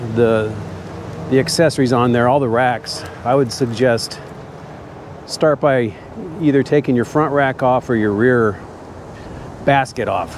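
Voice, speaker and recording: With ordinary pitch variation, a man talks at a medium pitch and moderate speed against noticeable background noise. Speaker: e-bike reviewer. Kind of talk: casual vlog while riding. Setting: outdoors on a bike. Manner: loud.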